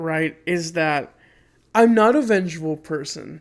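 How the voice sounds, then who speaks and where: A man speaks at a very slow pace with lively intonation. The recording is very clean, and the background is silent. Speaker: podcast host. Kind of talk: casual chat.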